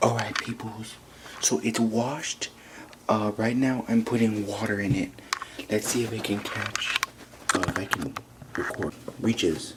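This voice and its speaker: The speech moves at a fairly slow pace with long, frequent pauses and ordinary pitch variation, against noticeable background noise. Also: man, medium pitch for a man. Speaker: vlogger. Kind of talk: casual vlog narration. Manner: hushed, trying to be quiet.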